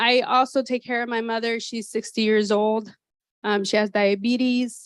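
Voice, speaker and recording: A woman speaks very slowly at a fairly high pitch. Her pitch varies in an ordinary way. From San Jose, California, US. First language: Spanish. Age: 30s. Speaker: activity coordinator at assisted living. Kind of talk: personal life talk to an audience.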